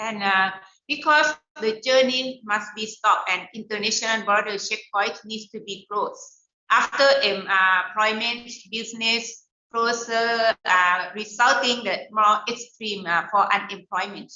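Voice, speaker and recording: Delivery is fairly slow, with a Thai accent. The intonation stays fairly even. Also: woman. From Thailand. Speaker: education center leader for small business entrepreneurs. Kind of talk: webinar talk. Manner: halting, many fillers.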